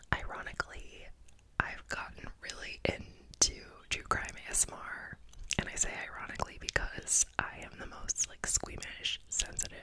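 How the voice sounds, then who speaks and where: A soft-spoken woman whispers at a moderate pace, her loudness swinging widely over noticeable background noise. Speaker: ASMR creator. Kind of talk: soft-spoken casual ASMR chat. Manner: soft close-mic ASMR whisper. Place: home room. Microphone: studio mic.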